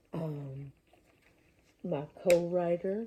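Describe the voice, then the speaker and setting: A quiet, somewhat breathy woman's voice with a dark, mellow tone. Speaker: independent filmmaker. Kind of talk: casual talk to camera. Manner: lowered voice, quiet; halting.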